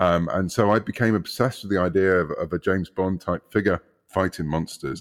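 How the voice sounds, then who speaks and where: A man's very deep, low voice, dry and close with no echo, on a very clean recording with a silent background. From UK. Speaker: comic book writer. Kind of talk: interview.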